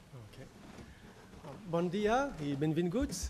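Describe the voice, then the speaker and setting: The recording carries audible room echo. A man speaks at a fairly high pitch. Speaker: professor. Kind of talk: conference lecture. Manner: tries to speak slowly and clearly.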